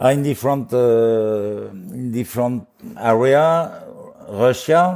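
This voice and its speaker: Speaking with a French accent at a very slow pace, a man uses a medium pitch and ordinary pitch variation. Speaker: bitcoin mining company CEO. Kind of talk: interview. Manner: halting.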